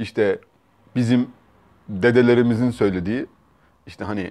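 The background stays quiet. His tone comes across as dark and mellow. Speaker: vlogger. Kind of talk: casual vlog chat, storytelling. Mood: amused, relaxed. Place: home room. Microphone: lapel.

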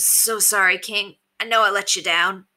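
A female-sounding, put-on character voice speaks at a middle pitch and moderate pace, raspy and with monotone, flat intonation. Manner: sorrowful, guilt-ridden.

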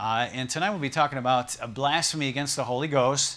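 A man's bright, sharp tone at a moderate pace, in a monotone, flat delivery. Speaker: pastor. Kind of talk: sermon. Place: church. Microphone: lapel.

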